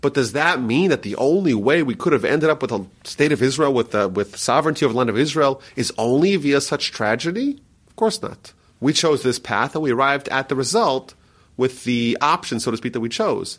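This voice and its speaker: On a very clean recording with a silent background, a man talks at a fairly quick pace in a plain, everyday voice, fairly high in pitch, with lively intonation and big swings in loudness. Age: 30s. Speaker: rabbi. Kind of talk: interview teaching.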